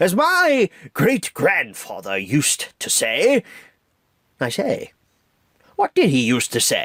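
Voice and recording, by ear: A man in a put-on character voice, fairly slow pace, long and frequent pauses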